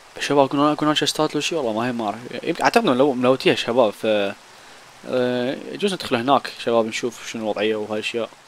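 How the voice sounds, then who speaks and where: Against noticeable background noise, a man of medium pitch talks at a very fast pace with ordinary pitch variation. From Iraq. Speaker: gaming YouTuber. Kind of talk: gameplay commentary. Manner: animated.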